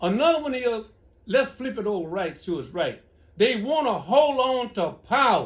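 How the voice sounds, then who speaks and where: Talking at a moderate pace in a Louisiana accent, a man uses an extremely high pitch and lively intonation. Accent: Southern US (Louisiana). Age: 70s. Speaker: elder giving advice. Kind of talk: casual Q&A.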